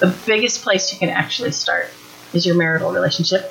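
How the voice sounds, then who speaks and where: Over noticeable background noise, a woman speaks at a fairly quick pace. Her medium pitch shows ordinary variation. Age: 50s. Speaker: parenting workshop speaker. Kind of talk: workshop talk.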